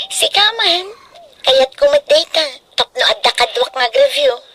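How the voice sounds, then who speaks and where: A put-on character voice, female-sounding and extremely high in pitch, makes very wide pitch swings at a fairly slow pace. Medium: audio drama.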